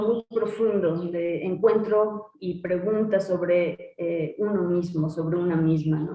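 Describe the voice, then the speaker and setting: With a Mexican accent, the speaker talks very slowly and with fairly even intonation amid noticeable background noise. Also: woman. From Mexico. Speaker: butoh dancer and teacher. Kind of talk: interview answer.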